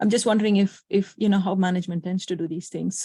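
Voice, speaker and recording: Somewhat breathy and dark, mellow in tone, a woman talks at a very fast pace in a medium pitch with fairly even intonation. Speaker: meetup attendee. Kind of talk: Q&A question. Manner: halting.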